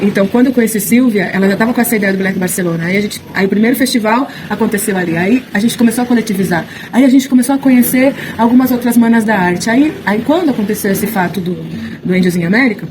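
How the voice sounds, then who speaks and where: Amid noticeable background noise, a woman talks at a very fast pace with a fairly high pitch and ordinary pitch variation. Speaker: actress and theatre director. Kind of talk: interview. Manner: halting, many fillers and restarts.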